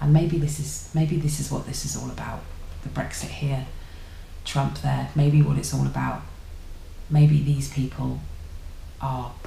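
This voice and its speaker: A woman with an English accent speaks at a fairly slow pace. Audible room echo and light background noise surround her voice. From England. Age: 30s. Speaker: YouTuber. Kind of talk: casual vlog monologue. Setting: at home. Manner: halting. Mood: reflective, thoughtful. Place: home room. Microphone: webcam.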